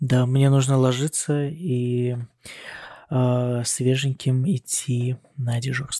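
A man's dark, mellow tone at medium pitch, very slow and monotone, with long, frequent pauses and a dry, close sound with no echo. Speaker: doctor (neurosurgeon) working in Germany, podcast co-host. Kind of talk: casual chat. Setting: recording on hospital night duty, on a laptop.

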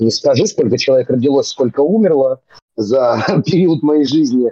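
Dark, mellow in tone, this voice moves at a moderate pace with lively intonation, recorded with a dry, close sound and no echo. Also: man. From Moscow region, Russia (Serpukhov). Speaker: rapper and comedy theatre actor. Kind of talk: casual chat.

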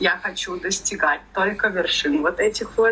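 A woman speaks with very wide pitch swings. Noticeable background noise runs underneath. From Russia, Ufa (Bashkortostan). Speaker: tattoo artist. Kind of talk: casual chat.

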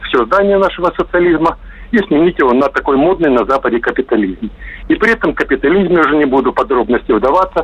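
A man speaks at a fairly quick pace. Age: 50s. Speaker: caller. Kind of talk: opinionated phone monologue. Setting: phone call.

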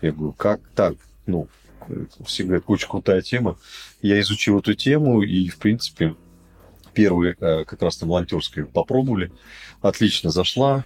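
A man with a fairly low pitch speaks at a moderate pace, leaving long, frequent pauses, in a dry, close sound with no echo. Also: lively intonation. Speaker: serial entrepreneur. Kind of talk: casual chat.

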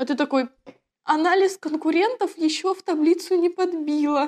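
The pace is moderate, with ordinary pitch variation. The sound is dry and close, with no echo. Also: woman. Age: 30s. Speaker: producer of online schools, actress. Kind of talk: casual interview chat.

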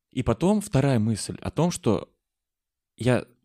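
A man's medium-pitched voice with a dark, mellow tone and very wide pitch swings, at a fairly slow pace, in a dry, close sound with no echo on a very clean recording with a silent background. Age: 20s. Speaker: podcast host. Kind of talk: casual chat.

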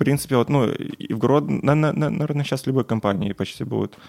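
Talking at a very fast pace, this man has vocal fry in his voice. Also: dry, close sound with no echo. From Belarus. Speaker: software engineer. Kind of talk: casual chat. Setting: at home.

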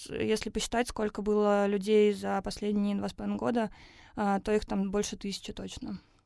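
Here a woman speaks at a moderate pace in a medium-pitched voice. The recording is very clean, with a silent background. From Russia, Tatarstan (Naberezhnye Chelny). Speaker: urban education program producer. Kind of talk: podcast interview. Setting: studio.

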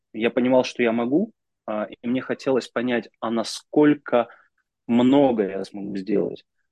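A man with a dark, mellow tone speaks at a medium pitch with ordinary pitch variation, the sound dry and close with no echo. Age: 30s. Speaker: business executive and mentor. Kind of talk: interview.

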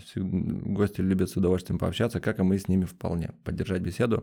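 A man speaks at a very fast pace. There are hardly any pauses. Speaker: cafe co-owner. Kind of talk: casual interview chat. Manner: emotional, energetic.

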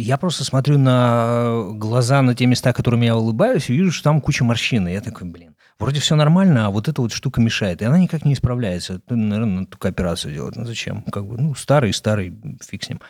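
The recording is very clean, with a silent background. A man talks very fast at a medium pitch, his intonation lively. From Russia, Izhevsk. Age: 40s. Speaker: actor. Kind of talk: interview. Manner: halting.

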